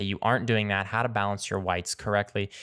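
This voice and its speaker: A man's fairly low voice against a quiet background. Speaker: photography tutorial host. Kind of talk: tutorial. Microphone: studio mic.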